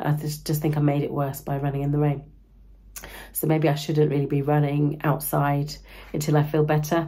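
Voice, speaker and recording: A woman speaks at a moderate pace in a very deep, low, somewhat breathy voice. Her intonation stays flat and monotone. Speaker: running vlogger. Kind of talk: vlog. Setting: outdoors. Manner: casual.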